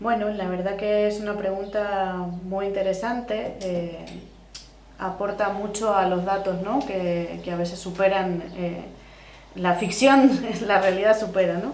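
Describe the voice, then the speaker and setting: Speaking at a fairly slow pace with fairly even intonation, a woman is heard with audible room echo and noticeable background noise. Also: medium pitch for a woman. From Argentina. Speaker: social worker. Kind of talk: podcast interview.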